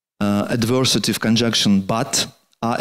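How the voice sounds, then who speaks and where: Spoken with a Russian accent and fairly even intonation, the clip is a very clean recording with a silent background. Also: man. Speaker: poet and translator lecturing. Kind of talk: lecture. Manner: halting.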